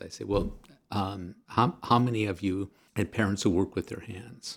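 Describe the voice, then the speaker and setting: On a very clean recording with a silent background, a man talks at a moderate pace and fairly low pitch in a plain, everyday voice. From US, blue-collar family. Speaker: political science professor and author. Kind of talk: interview.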